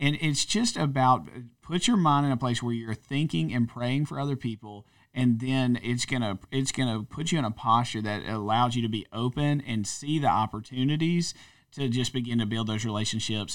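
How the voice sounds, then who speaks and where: The man has a plain, everyday voice at a medium pitch. He keeps a moderate pace with ordinary pitch variation. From North Louisiana, US. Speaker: church pastor. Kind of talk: casual conversational podcast chat.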